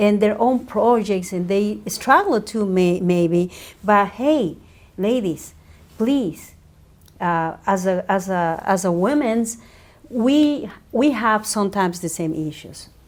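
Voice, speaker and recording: This woman speaks with a Spanish accent. Her pace is very slow. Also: medium pitch for a woman, lively intonation. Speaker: media entrepreneur and radio host. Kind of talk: interview.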